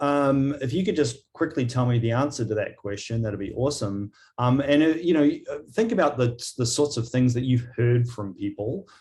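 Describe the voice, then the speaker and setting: A somewhat breathy man at a moderate pace, with a slight New Zealand accent. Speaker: agile coaching leader. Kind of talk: webinar presentation. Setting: video call.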